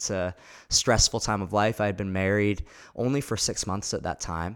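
At a moderate pace, this speaker talks with an American accent on a very clean recording against a silent background. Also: man. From Nova Scotia, Canada (Halifax). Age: 20s. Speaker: pastor. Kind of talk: casual chat.

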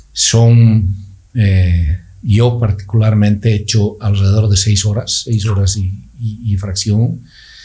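A man's very slow, somewhat breathy delivery, monotone and flat, with a dark, mellow tone. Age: 50s. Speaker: orthodontist and amateur cyclist. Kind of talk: casual interview. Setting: studio.

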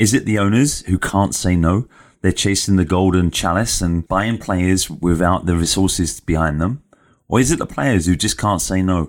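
A man speaks at a moderate pace in an English accent, his pitch very deep and low with ordinary variation. Loudness stays very even, and the recording is very clean with a silent background. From England. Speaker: sports podcast host. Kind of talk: solo commentary monologue.

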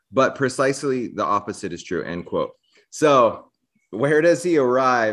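A man with a normal speaking voice, lively intonation, and a quiet background. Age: 40s. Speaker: podcast host. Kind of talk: casual interview chat.

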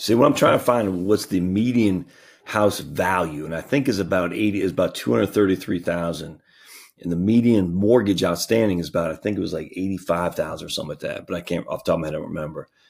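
A man with a very deep, low pitch talks at a very fast pace. His pitch variation is ordinary. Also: very clean recording, silent background. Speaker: financial planner and podcast host. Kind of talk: screen-share tutorial. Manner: loud; enthusiastic, casual.

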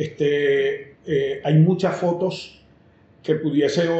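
Speaking very slowly at a fairly high pitch, a man is heard with audible room echo. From Venezuela, Caracas. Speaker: veterinarian. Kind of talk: casual chat.

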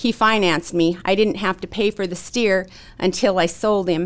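Here a woman speaks with an Upper Midwest accent at a medium pitch. Her intonation stays fairly even on a very clean recording with a silent background. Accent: Upper Midwest American. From North Dakota, Williston. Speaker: real estate broker and rancher. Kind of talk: interview.

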